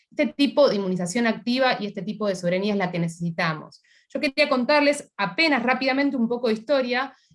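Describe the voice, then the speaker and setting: This woman talks at a very fast pace in a high-pitched voice. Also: lively intonation. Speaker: scientist. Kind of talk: panel talk.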